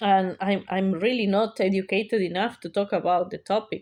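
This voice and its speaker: A medium-pitched woman with a non-native accent, fairly even intonation and a moderate pace, on a very clean recording with a silent background. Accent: non-native English accent, clear. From South America. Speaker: YouTuber. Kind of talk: casual monologue vlog. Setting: sitting at home talking to camera. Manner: hesitant, many fillers.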